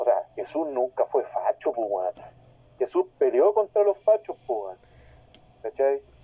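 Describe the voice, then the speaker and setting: A man with a Chilean accent speaks at a fairly slow pace. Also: dry, close sound with no echo. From Talcahuano, southern Chile. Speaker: podcast panelist, wrestling personality. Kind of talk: casual chat.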